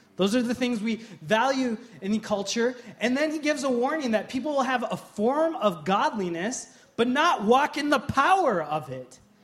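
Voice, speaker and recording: Extremely high pitch from a man, lively intonation at a moderate pace, over noticeable background noise. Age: 30s. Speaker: pastor. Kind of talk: sermon.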